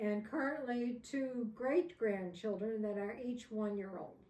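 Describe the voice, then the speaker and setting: A woman speaks in a dark, mellow tone with ordinary pitch variation. Audible room echo surrounds her voice. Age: 80s+. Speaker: elderly interviewee. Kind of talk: interview.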